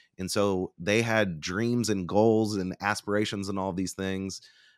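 A man with an American accent and an unremarkable speaking voice, fairly low in pitch, with fairly even intonation and a moderate pace, in a very clean recording with a silent background and a dry, close sound with no echo. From Oklahoma (Bartlesville). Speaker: company founder and public speaker. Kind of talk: interview conversation.

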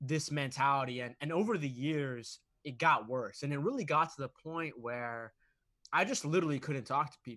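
Against a quiet background, a man with a bright, sharp tone speaks at a moderate pace with ordinary pitch variation. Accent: American. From US, Boston, Massachusetts. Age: 20s. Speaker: author and motivational speaker. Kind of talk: interview. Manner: animated.

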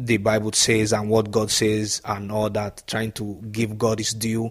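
The man's medium-pitched voice has a dry, close sound with no echo. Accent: Nigerian. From Nigeria. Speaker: professional footballer. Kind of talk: interview.

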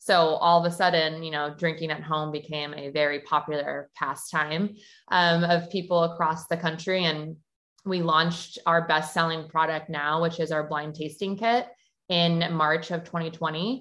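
An unremarkable speaking voice at a moderate pace, with fairly even intonation and a quiet background. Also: woman, fairly low pitch for a woman. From Milwaukee, Wisconsin. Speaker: sommelier and wine shop co-founder. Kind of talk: casual interview.

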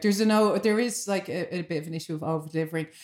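A woman with a Dublin accent, very fast pace and ordinary pitch variation. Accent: Irish (Dublin). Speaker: podcast host. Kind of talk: casual chat.

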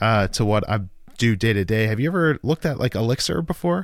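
A man's medium-pitched voice shows ordinary pitch variation. The background is silent and the recording very clean. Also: dry, close sound with no echo. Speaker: podcast host. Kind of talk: casual tech interview chat. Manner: casual, conversational.

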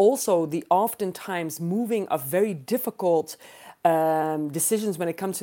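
With a Dutch accent, a woman speaks at a fairly low pitch with ordinary pitch variation and a dark, mellow tone in a very clean recording with a silent background. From Netherlands. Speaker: political science professor. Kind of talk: panel discussion.

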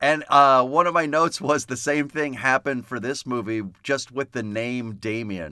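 On a very clean recording with a silent background, a man with a bright, sharp tone speaks at a moderate pace and medium pitch, with ordinary pitch variation and hardly any pauses. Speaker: podcast host discussing films. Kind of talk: casual chat. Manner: gentler tone when promoting the podcast.

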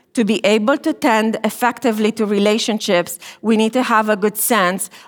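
With a Romanian accent, a woman speaks at a moderate pace in a fairly high voice. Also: very clean recording, silent background. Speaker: marriage and family therapy professor. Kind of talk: chapel talk.

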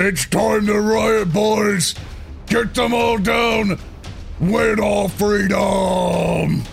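Over clear music in the background, a man shouts very slowly in a gruff, high-pitched, put-on character voice. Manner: yelling, rallying.

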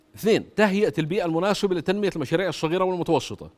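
This man, with a Jordanian accent, speaks in an animated tone at a fairly quick pace, his high pitch showing ordinary variation. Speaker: former government minister and economist. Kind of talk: political interview.

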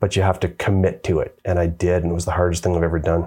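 This man speaks at a very fast pace in a Canadian accent, with a very deep, low pitch. His tone is dark and mellow and somewhat breathy. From Canada. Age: 50s. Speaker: author and adventure motorcyclist. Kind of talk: casual chat. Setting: on location in Canmore.

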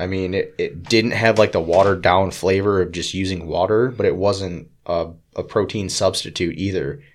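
A man with an unremarkable speaking voice and a fairly low pitch is heard in a very clean recording with a silent background. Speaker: podcast co-host. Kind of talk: casual chat.

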